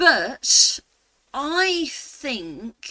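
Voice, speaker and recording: A woman with a British accent has a bright, sharp, playful tone, and the sound is dry and close with no echo. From England. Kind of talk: casual talk to camera. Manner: chatty, playful.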